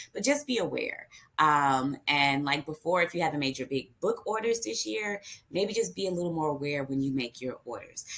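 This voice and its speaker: A woman with an American accent speaks in a very deep, low pitch with very wide pitch swings. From California. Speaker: school librarian. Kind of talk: webinar presentation. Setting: pre-recorded video session. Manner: hurried; mumbling.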